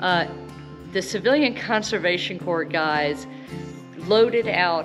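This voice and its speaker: Clear music plays behind a woman's fairly low-pitched voice. She speaks at a fairly slow pace. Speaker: travel vlogger. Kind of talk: casual vlog chat. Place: tunnel cave. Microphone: phone near.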